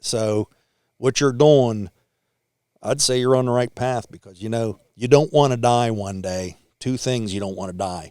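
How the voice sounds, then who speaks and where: An American accent with a dark, mellow tone, ordinary pitch variation and big swings in loudness, on a very clean recording with a silent background. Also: man, medium pitch for a man, fairly slow pace. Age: 60s. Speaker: ironworker and motorcyclist. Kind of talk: casual chat.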